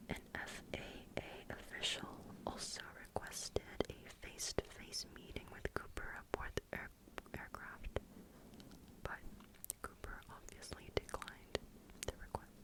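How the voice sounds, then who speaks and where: With noticeable background noise behind, the whispering moves at a fairly slow pace, broken by long, frequent pauses. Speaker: ASMR creator. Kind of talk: ASMR true crime narration. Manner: whispered.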